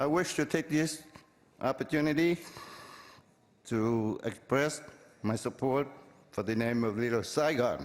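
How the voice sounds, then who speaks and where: A man with a non-native accent talks at a fairly slow pace, leaving long, frequent pauses. His pitch is fairly high, with ordinary pitch variation and very even loudness. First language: Vietnamese. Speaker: public commenter. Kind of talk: public comment. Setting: council chamber with audience. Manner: formal.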